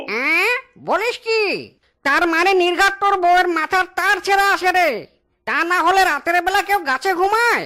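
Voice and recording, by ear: Here is a cartoonish character voice pitched extremely high. It goes at a moderate pace.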